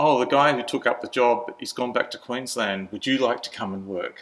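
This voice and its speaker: A man with an Australian accent speaks at a moderate pace in a bright, sharp tone, with a medium pitch and fairly even intonation. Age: 60s. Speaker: churchgoer sharing life story. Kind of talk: interview testimony. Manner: halting.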